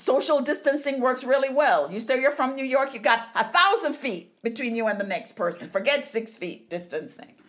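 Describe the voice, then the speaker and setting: A woman with a high pitch, an animated tone and lively intonation, at a moderate pace with hardly any pauses, over noticeable background noise. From Jamaica. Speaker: podcast host. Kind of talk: casual chat.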